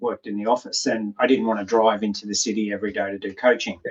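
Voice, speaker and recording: A man with an Australian accent speaks at a very fast pace. His pitch sits in the medium range. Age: 50s. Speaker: health and performance coach. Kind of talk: interview. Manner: casual, frank.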